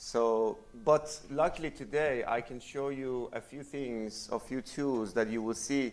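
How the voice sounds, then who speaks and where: Speaking at a fairly slow pace, a man keeps a medium pitch and fairly even intonation. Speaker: conference speaker, software developer. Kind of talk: conference talk. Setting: stage with audience. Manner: loud.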